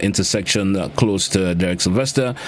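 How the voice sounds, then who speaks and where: A man talks at a moderate pace with very wide pitch swings, with noticeable background noise and audible room echo around him. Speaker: radio host. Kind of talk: radio call-in show.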